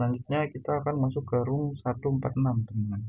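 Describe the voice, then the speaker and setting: Fairly even intonation runs through a man's speech at a moderate pace. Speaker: student. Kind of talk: tutorial. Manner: casual.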